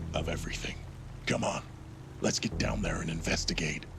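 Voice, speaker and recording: A man whispers in a put-on character voice at a fairly quick pace over loud background noise. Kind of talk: hard-boiled noir parody. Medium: machinima. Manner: curt, gruff.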